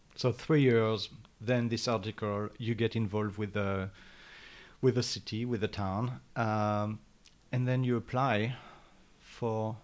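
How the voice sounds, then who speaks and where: A man speaks with a French accent at a fairly slow pace. His pitch is fairly low, and his intonation fairly even. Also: very clean recording, silent background. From France. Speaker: podcast host. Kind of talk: interview; scripted announcement. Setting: library.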